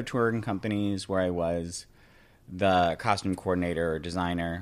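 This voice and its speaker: A man with an American accent, very deep, low pitch, fairly even intonation and a fairly slow pace, on a very clean recording with a silent background. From upstate New York (Binghamton). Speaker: Broadway wardrobe and hair crew, Etsy seller. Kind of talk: casual interview chat.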